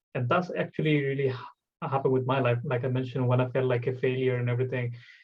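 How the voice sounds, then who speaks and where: With a Bengali accent, a man speaks very fast at medium pitch, his intonation fairly even. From Bangladesh. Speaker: podcast host. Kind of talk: casual chat.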